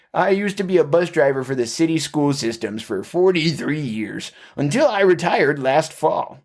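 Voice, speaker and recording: A put-on character voice carries lively intonation. The pace is moderate, with hardly any pauses. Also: man, fairly high pitch for a man. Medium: read story. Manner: folksy, friendly, over-earnest.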